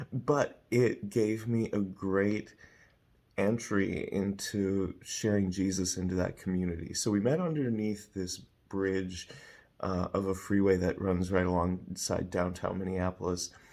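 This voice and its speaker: Quiet and fairly slow, a man speaks in a dark, mellow tone on a very clean recording with a silent background. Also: fairly low pitch for a man, fairly even intonation. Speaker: evangelist. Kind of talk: personal vlog story.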